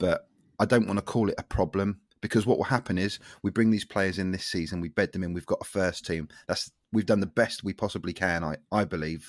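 Fairly low in pitch, a man with a plain, everyday voice speaks at a fairly quick pace with fairly even intonation. The recording is very clean, with a silent background. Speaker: football podcast panelist. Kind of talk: casual chat.

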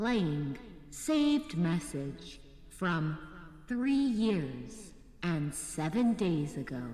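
Over clear background noise and with a clear echo, a female-sounding voice speaks at a very slow pace. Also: fairly low pitch for a woman.

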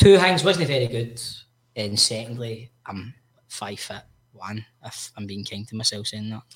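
Lively intonation at a moderate pace, with big swings in loudness and a Glasgow accent. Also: man, medium pitch for a man. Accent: Scottish (Glasgow). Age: 30s. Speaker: podcast co-host. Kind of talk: casual chat.

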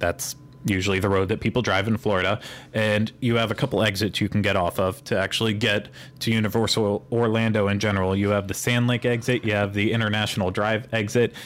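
Speech with a Pittsburgh accent moves at a fairly quick pace, with few pauses and little pitch movement. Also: man, fairly low pitch for a man. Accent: American, Pittsburgh.

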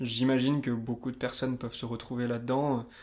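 In a very clean recording with a silent background, a man with a medium-pitched voice speaks at a fairly slow pace in a monotone, flat intonation. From France, Limousin. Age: 20s. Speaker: banker. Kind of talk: casual interview.

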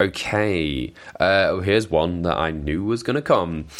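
Speaking with a Welsh accent, a man has a very deep, low pitch. His intonation shows ordinary pitch variation. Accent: mild Welsh. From Wales. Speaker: wrestling podcast host. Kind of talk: casual chat. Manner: hesitant, many fillers and repetitions.

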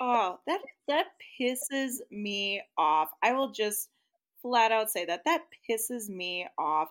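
A woman with an American accent speaks very slowly at a fairly high pitch. Her intonation is lively, in a very clean recording with a silent background. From US Midwest. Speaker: podcast co-host. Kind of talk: casual chat.

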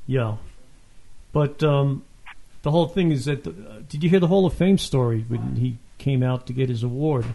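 Somewhat breathy with a dark, mellow tone, a man speaks at a moderate pace and medium pitch with lively intonation and long, frequent pauses. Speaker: podcast host. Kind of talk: interview. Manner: halting.

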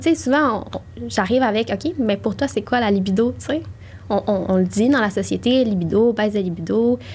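Vocal fry runs through a woman's medium-pitched voice. Her intonation is lively. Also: moderate pace. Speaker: sexologist. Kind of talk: interview.

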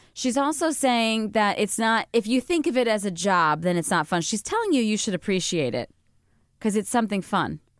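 Recorded very cleanly with a silent background and a dry, close sound with no echo, a woman talks at a fairly high pitch with lively intonation and very even loudness. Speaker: podcast host. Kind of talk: casual chat. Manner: fast.

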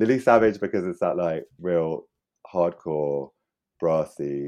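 A man's dark, mellow tone at a very slow pace. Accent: London. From London. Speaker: artist and curator. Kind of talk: casual chat.

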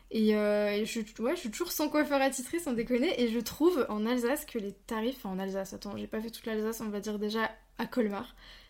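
A woman's fairly high voice, an unremarkable speaking voice, rises and falls with ordinary pitch variation. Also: fairly quick pace, very clean recording, silent background. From Franche-Comté. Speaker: podcast host. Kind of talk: interview.

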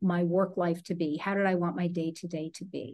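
A woman's normal speaking voice, medium in pitch, at a moderate pace against a quiet background. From New Jersey. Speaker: leadership coach. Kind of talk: interview conversation.

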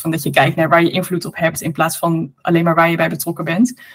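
The voice sounds somewhat breathy, and its intonation stays fairly even. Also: woman. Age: 30s. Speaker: author and entrepreneur. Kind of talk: interview conversation.

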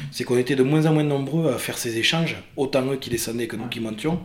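Audible room echo and noticeable background noise accompany speech with ordinary pitch variation. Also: man. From Casteljaloux, Lot-et-Garonne. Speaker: lifelong friend, festival-goer. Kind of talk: interview storytelling.

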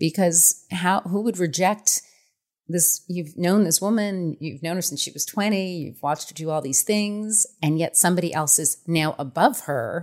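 A woman in a plain, everyday voice, fairly low-pitched with ordinary pitch variation and a moderate pace, in a very clean recording with a silent background. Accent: American. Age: 40s. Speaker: author. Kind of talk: interview.

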